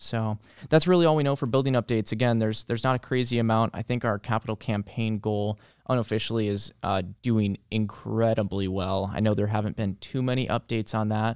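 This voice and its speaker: A man with an unremarkable speaking voice at medium pitch, ordinary pitch variation and a fairly quick pace, in a very clean recording with a silent background and a dry, close sound with no echo. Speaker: library podcast host. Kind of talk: casual chat. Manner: friendly, conversational.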